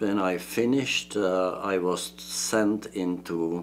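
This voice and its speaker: A man's very deep, low voice with ordinary pitch variation. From Czechoslovakia. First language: Czech. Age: 80s+. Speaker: retired engineering professor. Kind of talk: interview. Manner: halting.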